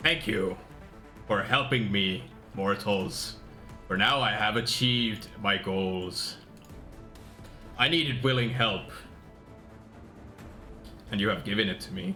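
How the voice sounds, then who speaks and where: A man uses a put-on character voice at a fairly low pitch and fairly slow pace, with long, frequent pauses. Clear music plays behind him. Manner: maniacal.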